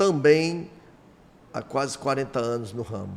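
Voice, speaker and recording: A man talks in an unremarkable speaking voice at a medium pitch with ordinary pitch variation. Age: 60s. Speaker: car dealer and former union president. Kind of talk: interview podcast.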